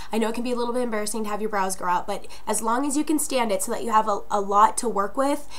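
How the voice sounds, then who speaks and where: Very fast speech from a woman with a fairly high pitch, audible room echo around her. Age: 20s. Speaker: beauty vlogger. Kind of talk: tutorial. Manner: casual, many filler words.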